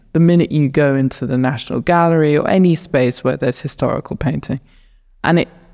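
With a southern English accent, a woman speaks in a very deep, low voice with a dark, mellow tone. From England, north of Luton. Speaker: painter. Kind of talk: interview. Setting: art gallery.

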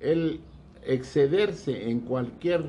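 A man's dark, mellow voice at a very slow pace, with audible room echo. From Mexico, Guanajuato. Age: 80s+. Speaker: retiree and former academic administrator. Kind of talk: casual interview. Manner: formal.

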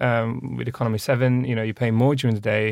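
A man's unremarkable speaking voice, medium in pitch, at a fairly quick pace. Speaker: transport economics expert. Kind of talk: casual chat. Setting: studio.

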